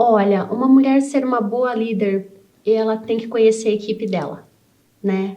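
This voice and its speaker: Her voice fairly high in pitch, a woman speaks with a dark, mellow tone and fairly even intonation. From Brazil, rural interior of Paraná. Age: 40s. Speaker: civil engineer and business owner. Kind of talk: interview.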